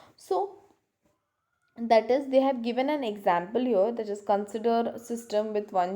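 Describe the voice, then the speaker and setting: With audible room echo, a woman speaks in a dark, mellow tone with fairly even intonation. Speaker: lecturer. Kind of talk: lecture. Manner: slow.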